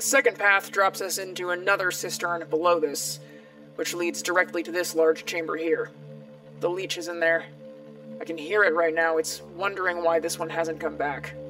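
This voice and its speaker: A woman does a raspy, put-on character voice at a fairly low pitch, speaking at a moderate pace with fairly even intonation while clear music plays in the background. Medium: audio drama. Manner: calm, precise, analytical.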